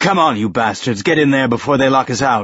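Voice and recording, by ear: A man speaks at a fairly quick pace in a put-on character voice, hoarse and croaky, at a medium pitch.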